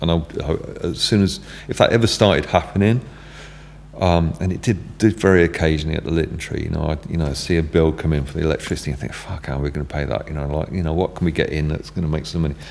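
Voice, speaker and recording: A very deep, low male voice at a very fast pace, with ordinary pitch variation and noticeable background noise. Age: 60s. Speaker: music venue owner. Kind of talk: casual chat. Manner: halting, many fillers and restarts.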